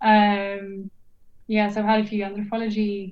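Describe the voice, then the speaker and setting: A woman speaks at a fairly slow pace with a medium pitch. Noticeable background noise is present. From Norway. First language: Norwegian. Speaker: archaeologist and PhD student. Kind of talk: casual interview chat. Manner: hesitant with many fillers.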